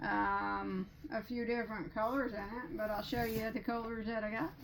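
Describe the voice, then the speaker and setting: Noticeable background noise behind a woman with a fairly high pitch at a fairly slow pace. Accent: Midwestern. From US Midwest. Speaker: crochet youtuber. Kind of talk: yarn haul chat. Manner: halting, many fillers; enthusiastic.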